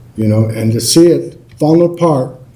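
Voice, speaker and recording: A man with an American accent speaks at a medium pitch. Audible room echo surrounds his voice. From Colorado (Lafayette). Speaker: public commenter. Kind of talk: public comment at council meeting. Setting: city council meeting.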